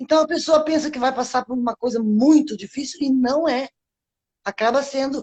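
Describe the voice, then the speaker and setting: Her voice is high-pitched, and she talks at a moderate speed. The woman's intonation is fairly even. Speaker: ex-smoker. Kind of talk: interview.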